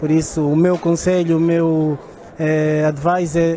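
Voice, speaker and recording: A man speaks at a fairly high pitch and a moderate pace in a monotone, flat intonation. Noticeable background noise is present. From Portugal. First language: Portuguese. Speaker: church event attendee. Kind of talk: testimony. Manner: halting.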